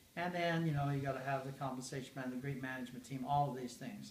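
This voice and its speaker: A man with an American accent speaks very fast at medium pitch with ordinary pitch variation, amid noticeable background noise and audible room echo. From Idaho, US. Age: 70s. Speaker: network marketing executive. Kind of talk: interview.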